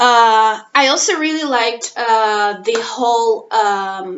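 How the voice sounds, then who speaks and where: Speaking with a non-native accent, a woman has a fairly high pitch and ordinary pitch variation. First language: not English. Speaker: language teacher and master's student. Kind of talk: personal vlog monologue. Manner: halting, many fillers.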